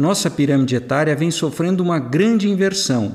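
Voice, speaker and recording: A man talks in a normal speaking voice at a fairly high pitch. His intonation is lively. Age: 60s. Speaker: author and financial commentator. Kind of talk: scripted narration.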